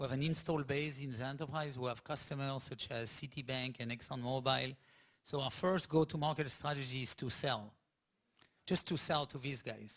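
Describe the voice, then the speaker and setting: In a French accent, the words come at a moderate pace. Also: man, medium pitch for a man, fairly even intonation. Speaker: tech startup CEO. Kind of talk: onstage interview at business summit.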